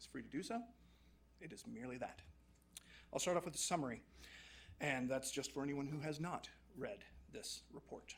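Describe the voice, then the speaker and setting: A man talks at a very fast pace with lively intonation, and audible room echo surrounds his voice. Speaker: HR and payroll consultant. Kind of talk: formal report presentation. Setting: council chambers.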